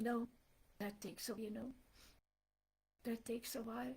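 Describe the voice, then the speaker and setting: With a non-native accent and vocal fry, a woman speaks at a fairly high pitch and moderate pace, with ordinary pitch variation. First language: not English. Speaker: devotional speaker. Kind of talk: spiritual talk. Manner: animated.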